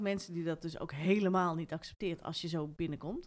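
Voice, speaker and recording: A woman does the talking. Her words come at a very fast pace. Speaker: podcast interviewer. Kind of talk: casual interview.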